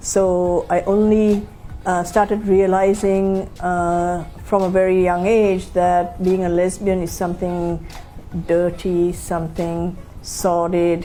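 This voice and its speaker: A woman with an American accent, fairly low in pitch, at a very slow pace with monotone, flat intonation and audible room echo. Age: 60s. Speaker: LGBT activist and interviewee. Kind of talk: documentary interview. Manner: hesitant, many fillers.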